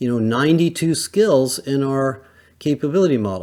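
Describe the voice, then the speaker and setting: A man speaks at a moderate pace in a fairly high pitch with ordinary pitch variation. He has an unremarkable speaking voice, and the recording is very clean with a silent background. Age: 60s. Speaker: HR industry analyst, podcast host. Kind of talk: solo podcast monologue. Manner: conversational, with filler words.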